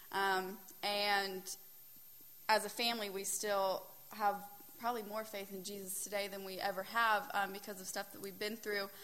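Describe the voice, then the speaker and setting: A woman speaks at a medium pitch and moderate pace in a bright, sharp tone. Her intonation is flat and monotone, with long, frequent pauses. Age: 20s. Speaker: youth group speaker. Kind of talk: youth group talk.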